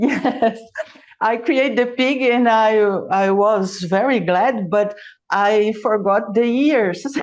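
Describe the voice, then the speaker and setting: A woman's very slow, fairly high-pitched voice with a Brazilian Portuguese accent, very even in loudness, with audible room echo. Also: ordinary pitch variation. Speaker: origami artist. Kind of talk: interview. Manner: halting.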